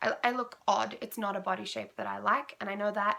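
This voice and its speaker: This woman, with an Australian accent, has a bright, sharp tone at a medium pitch. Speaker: knitting podcaster. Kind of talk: casual podcast monologue. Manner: quiet; hesitant, many ums.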